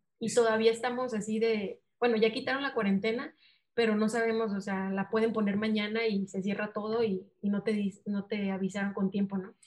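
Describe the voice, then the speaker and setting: In a Sinaloan accent, a woman speaks fairly quickly in a somewhat breathy, fairly high voice. Her intonation stays monotone and flat. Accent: Sinaloa. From Mexico, Mazatlán, Sinaloa. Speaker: missionary. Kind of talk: interview.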